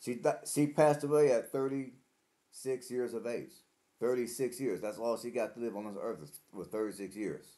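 This man's voice has a dark, mellow tone at medium pitch, heard against a quiet background. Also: ordinary pitch variation, moderate pace. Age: 40s. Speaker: vlogger. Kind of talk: casual monologue to camera. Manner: halting, with fillers and repeats. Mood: earnest, reflective. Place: home room.

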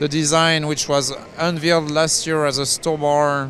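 Over music in the background, a man speaks at a fairly slow pace in a dry sound with no echo. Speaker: defense news reporter. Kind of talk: commentary. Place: hall. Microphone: handheld.

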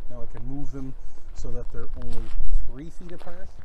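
A man talks at a moderate pace in a dry recording with no echo and noticeable background noise. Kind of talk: casual show-and-tell commentary. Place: open country. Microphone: phone near.

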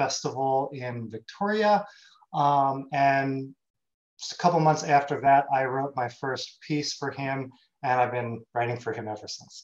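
Over a quiet background, a man speaks with big swings in loudness and ordinary pitch variation. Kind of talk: conference presentation. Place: home room.

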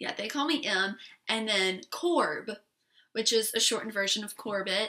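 A woman with an American accent speaks at a fairly slow pace in a fairly high pitch with ordinary pitch variation. Her tone is animated, and the background is quiet. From South Carolina. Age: young. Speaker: beauty vlogger. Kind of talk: casual vlog monologue. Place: home room. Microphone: webcam.

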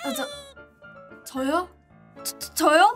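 Clear music plays in the background as a woman speaks in a raised, projected voice. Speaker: livestreamer. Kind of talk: casual livestream chat to viewers. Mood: playful, grateful, cute. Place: home room.

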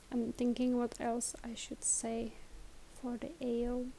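A woman's high voice in a non-native accent, at a very slow pace. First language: not English. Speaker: tutorial presenter. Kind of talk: tutorial. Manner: slow, careful.

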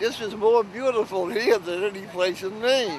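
A man's voice with ordinary pitch variation, dry and echo-free, over light background noise. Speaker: local storyteller on boat trip. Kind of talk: casual interview answer. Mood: cheerful, reminiscing. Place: boat. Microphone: phone near.

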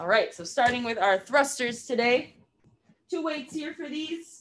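This woman speaks with a high pitch. Her pitch varies in an ordinary way. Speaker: fitness instructor. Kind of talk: tutorial. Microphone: camera far.

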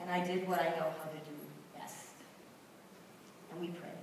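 A woman at a fairly low pitch, with strong room echo and light background noise. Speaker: panelist. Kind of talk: personal reflection testimony. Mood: solemn, emotional recollection. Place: hall.

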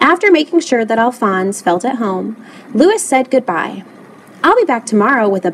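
Someone is reading aloud in a natural voice.

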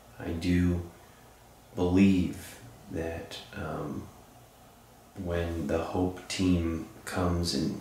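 There is audible room echo and light background noise. Through it, a man speaks with a very deep, low pitch. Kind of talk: spoken address to spirits. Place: home room.

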